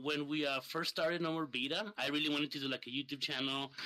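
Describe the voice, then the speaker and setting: Against noticeable background noise, a man with a Spanish accent talks at a very fast pace. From Mexico, Ciudad Juarez. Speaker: streamer and gamer. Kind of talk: casual chat.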